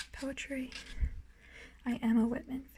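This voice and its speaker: Soft-spoken, a woman talks in a high pitch. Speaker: ASMR creator, beginner. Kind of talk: ASMR book collection tour.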